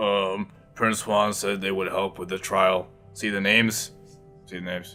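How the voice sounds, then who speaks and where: A man puts on a raspy character voice at a fairly low pitch, with monotone, flat intonation. He talks at a moderate pace over faint music in the background. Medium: game stream. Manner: nervous, stammering.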